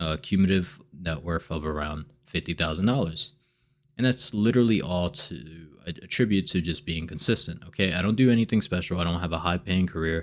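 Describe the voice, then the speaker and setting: This man has a very deep, low pitch and speaks at a fairly quick pace with ordinary pitch variation. The recording is very clean, with a silent background. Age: 20s. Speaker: personal finance YouTuber. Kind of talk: casual vlog monologue. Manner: animated; halting with fillers and repetitions.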